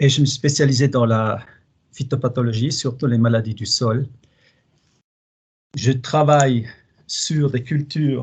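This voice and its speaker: Against a quiet background, a man with a slight Swiss German accent talks at a fairly slow pace in a somewhat breathy voice. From German-speaking Switzerland, Basel. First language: Swiss German (speaking French). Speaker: plant pathologist researcher. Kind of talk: webinar presentation. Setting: online webinar. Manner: hesitant, with fillers.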